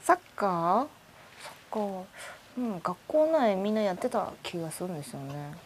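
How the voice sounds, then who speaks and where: At a moderate pace and medium pitch, a woman speaks with very wide pitch swings. Her loudness swings widely too. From Hong Kong and Shanghai. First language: Chinese (Shanghainese) (speaking Japanese). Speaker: podcast guest. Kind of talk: casual chat.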